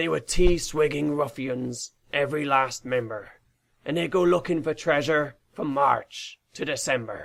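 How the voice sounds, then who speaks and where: A raspy, put-on character voice carries a theatrical, playful tone. It moves at a moderate pace. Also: man, fairly high pitch for a man. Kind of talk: rhyming children's story narration. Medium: read story. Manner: theatrical, playful, sing-song.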